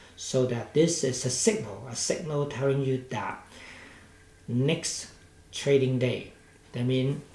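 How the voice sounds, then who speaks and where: Using long, frequent pauses, a man with a Hong Kong accent speaks at a very slow pace and medium pitch with ordinary pitch variation, amid audible room echo. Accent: Hong Kong Cantonese-accented English. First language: Cantonese. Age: 60s. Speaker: stock market commentator. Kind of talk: market analysis commentary. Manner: hesitant, with many fillers.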